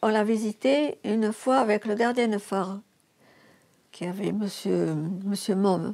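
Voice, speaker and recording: A woman speaks at a medium pitch in a dark, mellow tone with fairly even intonation. Her pace is fairly slow, with long, frequent pauses. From France, Gironde (Arcachon basin). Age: 80s+. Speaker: former lighthouse keeper's assistant. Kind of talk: personal testimony.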